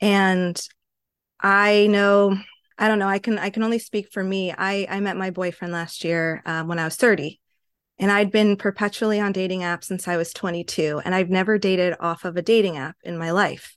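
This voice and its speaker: In a quiet background, a woman with an ordinary speaking voice talks at a medium pitch and a moderate pace. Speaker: podcast host, therapist.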